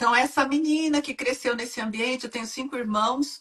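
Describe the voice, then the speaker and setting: Her intonation fairly even, a woman speaks in a high voice at a fairly quick pace. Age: 60s. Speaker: women's mentor and hypnotherapist. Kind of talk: live-stream interview. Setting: online live stream.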